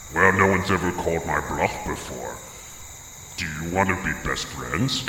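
A man puts on a menacing character voice with a very deep, low pitch, speaking at a moderate pace over clear background noise and a clear echo. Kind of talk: improv comedy scene. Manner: menacing, then friendly.

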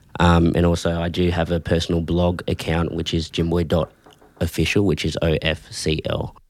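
A man's very deep, low voice comes through on a very clean recording over a silent background. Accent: Australian. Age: young. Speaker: young photographer. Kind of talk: casual chat.

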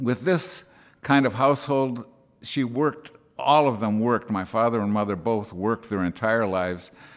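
A man with an American accent and an ordinary speaking voice, medium pitch, ordinary pitch variation and a moderate pace. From US Midwest, Wisconsin. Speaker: actor turned interior designer. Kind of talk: interview. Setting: country club.

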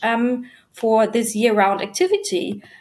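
This woman has a fairly high voice. She speaks at a very slow pace. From Germany. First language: German. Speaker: business development manager at an art supply company. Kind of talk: interview.

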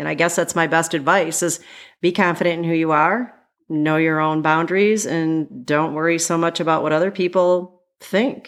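Over a very clean recording with a silent background, a woman with a fairly low pitch speaks at a moderate pace with fairly even intonation. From Michigan. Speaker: teacher. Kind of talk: casual interview.

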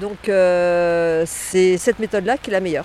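This is a woman speaking at a moderate pace. Noticeable background noise can be heard. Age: 50s. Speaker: bike commuter. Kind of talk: testimony. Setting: outdoors at a car park. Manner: animated.

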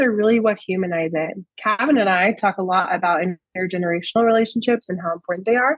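A woman speaks at a very fast pace. Her voice is somewhat breathy. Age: 20s. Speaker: podcast co-host.

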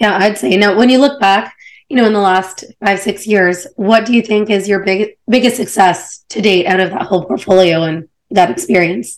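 Using an ordinary speaking voice, a woman talks at a moderate pace and medium pitch with ordinary pitch variation. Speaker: podcast host. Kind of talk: interview.

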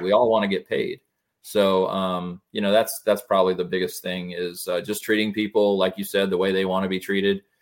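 A man with a normal speaking voice, fairly low pitch, fairly quick pace and fairly even intonation. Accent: American. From Florida, West Pasco area. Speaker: mortgage loan officer. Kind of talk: casual interview.

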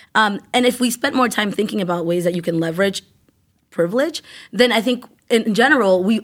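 In a normal speaking voice, the speaker moves at a fairly quick pace with lively intonation, on a very clean recording with a silent background. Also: woman. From Worcester, Massachusetts (born in Ecuador). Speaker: youth services director and community organizer. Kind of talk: casual interview.

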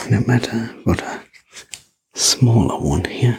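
A man whispers at a fairly slow pace. His tone is calm and soothing. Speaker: sleep story narrator. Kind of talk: ASMR sleep story roleplay. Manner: soft, slow, gentle whisper-like delivery; calm, soothing, personal-attention tone.

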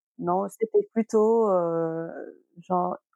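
A dark, mellow tone with lively intonation comes through a dry, close sound with no echo. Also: woman. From Senegal (Dakar). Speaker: fashion model. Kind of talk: interview.

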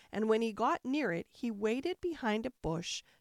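A woman speaks at a moderate pace in a fairly high pitch, her pitch swinging very widely in an animated, dramatic tone. The sound is dry and close, with no echo. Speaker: bedtime story narrator. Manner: animated, dramatic, soothing.

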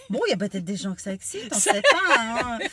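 Noticeable background noise sits behind a woman whose voice has a dry, close sound with no echo. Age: 50s. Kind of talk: casual chat.

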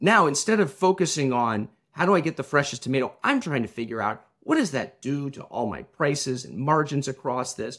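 Speaking fairly quickly with hardly any pauses, a man with a Midwestern American accent uses a fairly high pitch and lively intonation. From US Midwest, Illinois. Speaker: tech company founder, former restaurant operator. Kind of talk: interview conversation.

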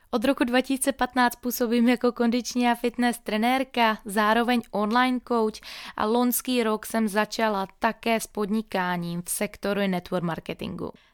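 On a very clean recording with a silent background and a dry, close sound with no echo, a woman speaks in a normal speaking voice at a fairly high pitch and moderate pace. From Moravia, Czechia. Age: 20s. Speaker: fitness trainer and podcast host. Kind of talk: scripted monologue. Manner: upbeat.

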